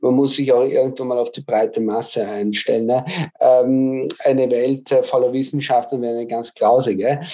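A man's medium-pitched voice in a monotone, flat intonation at a moderate pace. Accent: Viennese. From Austria, Vienna. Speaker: mathematics professor. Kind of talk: interview. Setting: video call. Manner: hesitant, many filler sounds.

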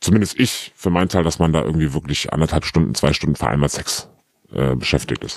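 A man speaks at a very deep, low pitch with vocal fry. His pace is fairly quick and his pitch varies in an ordinary way. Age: 30s. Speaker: anonymous interview guest. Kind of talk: candid personal interview. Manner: halting, many fillers.

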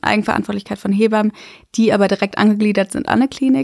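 A woman talks at a very fast pace, her voice dry and close with no echo. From Germany, Freiburg. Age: 20s. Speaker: midwife. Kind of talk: interview, casual chat.

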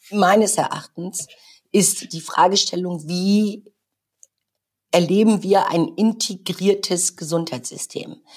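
At a very slow pace with long, frequent pauses, a woman of medium pitch talks with ordinary pitch variation. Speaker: hospital group executive. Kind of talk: interview.

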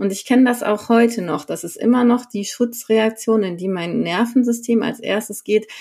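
Her pitch fairly high and her tone dark and mellow, a woman speaks at a moderate pace with hardly any pauses. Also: ordinary pitch variation. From Sauerland, North Rhine-Westphalia, Germany. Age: 30s. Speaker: coach. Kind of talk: personal interview.

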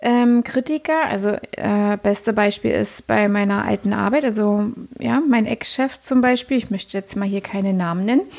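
This is a woman with an unremarkable speaking voice at a medium pitch. She keeps a moderate pace and ordinary pitch variation. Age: 40s. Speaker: podcast co-host. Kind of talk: casual chat.

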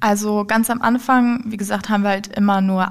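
A woman speaks at a medium pitch. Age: 20s. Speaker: apprentice in dialogue marketing. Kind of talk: casual interview. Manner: halting.

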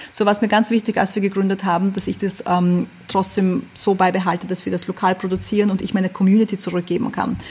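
Somewhat breathy and very fast, the voice holds a monotone, flat intonation. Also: woman, medium pitch for a woman. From Vienna, Austria. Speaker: fashion label founder. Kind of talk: interview. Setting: video call.

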